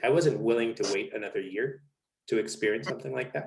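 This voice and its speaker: A Spanish accent colors this voice. It belongs to a man. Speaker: naturism content creator. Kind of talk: casual interview conversation.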